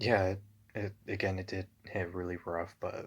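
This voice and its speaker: This is a man speaking. His pace is very slow. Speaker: ASMR roleplay voice actor. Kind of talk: ASMR roleplay, casual confiding talk to listener. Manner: casual, hesitant, sympathetic.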